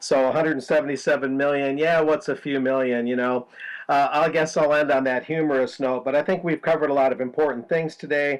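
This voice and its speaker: This man, with an American accent, talks very fast in a fairly high voice. His intonation stays fairly even. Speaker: journalist. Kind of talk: news discussion. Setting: video call.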